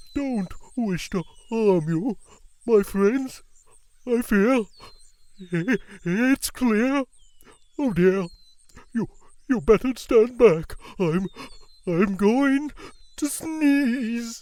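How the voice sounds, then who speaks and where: Someone uses a put-on character voice at a fairly high pitch, speaking at a very slow pace with long, frequent pauses. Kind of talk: children's picture book read-aloud. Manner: hesitant, apologetic.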